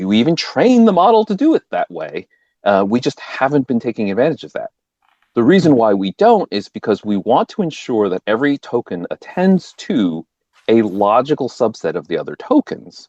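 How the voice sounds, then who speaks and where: The sound is dry and close, with no echo, as a man speaks at a moderate pace. His medium-pitched voice has a dark, mellow tone and very wide pitch swings. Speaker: machine learning researcher presenting own work. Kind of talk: technical presentation. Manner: halting, many repeated words.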